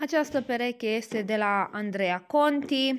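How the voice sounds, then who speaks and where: With light background noise, a woman talks at a fairly slow pace in a high pitch with ordinary pitch variation. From Romania. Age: 20s. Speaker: YouTuber. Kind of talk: product showcase vlog. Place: home room.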